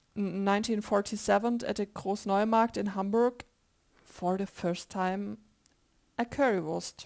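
Over a quiet background, a woman with a German accent talks at a fairly high pitch with fairly even intonation. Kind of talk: casual chat.

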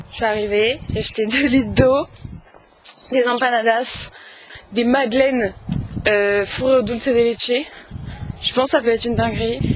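At a moderate pace broken by long, frequent pauses, a woman with a fairly high pitch speaks with fairly even intonation over noticeable background noise. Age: 20s. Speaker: law student, travel podcaster. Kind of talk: travel vlog diary. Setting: on the go, outdoors and in transit. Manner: casual, chatty.

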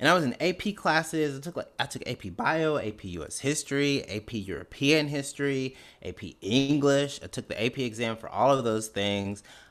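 A man with a Mississippi accent talks fairly quickly at a fairly high pitch, barely pausing, with lively intonation and big swings in loudness. The recording is very clean with a silent background. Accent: Mississippi Southern US. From Mississippi (Canton). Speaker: comedian. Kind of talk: interview.

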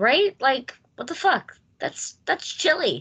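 A woman with an American accent speaks in a raised, projected voice at a moderate pace. Her tone is bright and sharp. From United States. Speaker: podcast host. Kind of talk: casual chat. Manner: animated.

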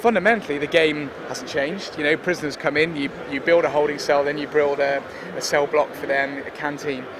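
A man with a fairly high pitch talks at a fairly quick pace. His intonation is fairly even, and background noise is noticeable. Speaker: game developer. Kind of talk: interview.

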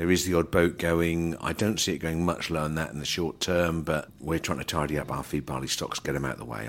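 This man talks at a fairly quick pace with a very deep, low pitch. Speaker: grain trader and podcast host. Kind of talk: market report and casual chat. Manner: fast.

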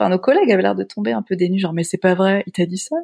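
A woman speaks at a very fast pace. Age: young. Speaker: pastor. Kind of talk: casual chat.

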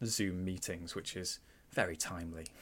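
In a Mancunian accent, a man speaks at a moderate pace with a very deep, low pitch. His intonation stays fairly even, and the recording is very clean with a silent background. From Manchester, England. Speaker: film podcast host. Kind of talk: casual film discussion.

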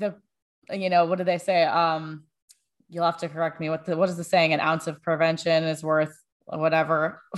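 A woman speaks at a fairly low pitch and a moderate pace, in an ordinary speaking voice. The background is quiet. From Florida. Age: 30s. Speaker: soldier and Olympic-level skeleton athlete. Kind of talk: casual interview.

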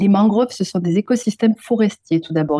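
A woman with a southwestern French accent, dark and mellow in tone, at a fairly quick pace with fairly even intonation, in a dry, close sound with no echo. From southwest France, Pyrenees. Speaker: ecologist. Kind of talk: interview.

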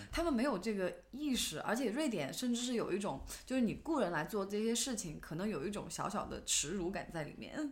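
A woman speaks at a fairly quick pace with hardly any pauses and very wide pitch swings. Room echo is audible. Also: fairly high pitch for a woman. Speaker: podcast co-host. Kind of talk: casual chat.

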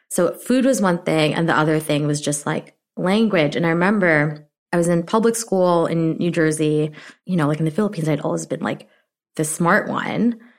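A woman talks at a moderate pace with an unremarkable speaking voice. Her pitch sits fairly low and varies in an ordinary way. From immigrated to US at age seven. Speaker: startup co-founder and brand officer. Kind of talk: casual interview chat. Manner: casual, filler-heavy, uses many 'like'.

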